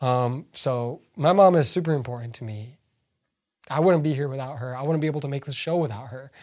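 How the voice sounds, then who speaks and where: A man at a very fast pace with big swings in loudness, on a very clean recording with a silent background. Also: fairly high pitch for a man, ordinary pitch variation. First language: not English. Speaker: podcast co-host. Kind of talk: casual chat. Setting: home basement.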